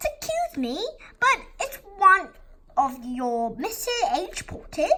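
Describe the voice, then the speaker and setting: Putting on a squeaky character voice, a woman speaks at an extremely high pitch with very wide pitch swings and a fairly slow pace. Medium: read story. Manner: polite, apologetic.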